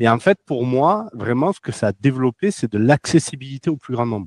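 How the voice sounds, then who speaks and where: In a slight southern French accent, a man talks at a fairly quick pace and medium pitch with lively intonation, the sound dry and close with no echo against a quiet background. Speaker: cybersecurity company executive. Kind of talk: interview.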